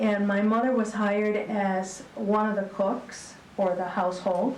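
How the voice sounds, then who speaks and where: A woman with an American accent speaks at a fairly slow pace in a monotone, flat intonation with very even loudness. Audible room echo and noticeable background noise are present. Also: medium pitch for a woman. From Texas, then Michigan. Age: 60s. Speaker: retired school principal. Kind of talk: public talk on local history. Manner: hesitant, many fillers.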